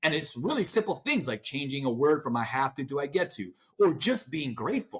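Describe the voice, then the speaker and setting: A man talks loudly and at a fairly quick pace, his fairly high voice animated and swinging very widely in pitch. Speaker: motivational speaker and author. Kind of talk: interview. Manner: fast when excited; loud and animated.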